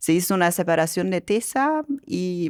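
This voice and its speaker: A woman speaks with a German accent and lively intonation. The recording is dry and close, with no echo. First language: German (speaking Spanish). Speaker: company director and angel investor. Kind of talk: podcast interview.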